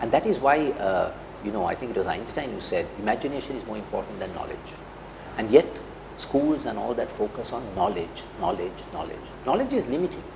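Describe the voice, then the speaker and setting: A man speaks at a fairly quick pace while noticeable background noise carries on. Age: 60s. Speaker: CEO and business leader. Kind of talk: interview. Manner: hesitant, with many fillers.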